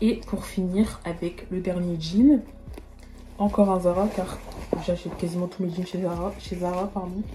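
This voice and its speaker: Over noticeable background noise, a woman speaks at a fairly slow pace and a medium pitch, with fairly even intonation and long, frequent pauses. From rural France. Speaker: fashion YouTuber. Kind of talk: try-on haul vlog. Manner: casual, chatty.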